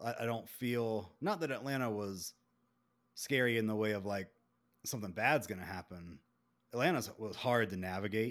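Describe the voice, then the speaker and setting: Moderate pace with long, frequent pauses, in a very clean recording over a silent background. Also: man, fairly low pitch for a man, ordinary pitch variation. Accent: Southern US. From Beaufort, South Carolina. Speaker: podcast host. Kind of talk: casual chat.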